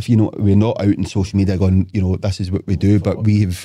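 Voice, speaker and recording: With a Lanarkshire accent, a man speaks very fast in a dark, mellow tone on a very clean recording with a silent background. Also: dry, close sound with no echo. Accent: Scottish (Lanarkshire). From Scotland, Motherwell. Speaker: property developer. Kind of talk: casual chat. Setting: studio.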